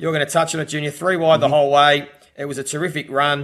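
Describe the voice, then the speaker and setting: Speaking at a very fast pace, a man with an Australian accent uses a fairly high pitch. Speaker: racing podcast host. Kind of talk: casual chat about horse racing tips.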